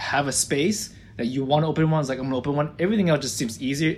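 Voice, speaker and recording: The man's voice is somewhat breathy. It sits fairly high in pitch. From Florida, US (born in Israel). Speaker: optometrist and practice owner. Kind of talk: interview.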